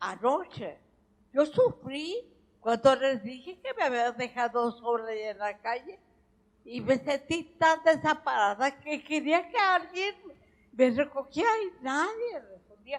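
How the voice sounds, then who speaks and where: A woman speaks at a very slow pace in a high pitch. Her loudness swings widely. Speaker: veteran stage and screen actress. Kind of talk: public interview with audience.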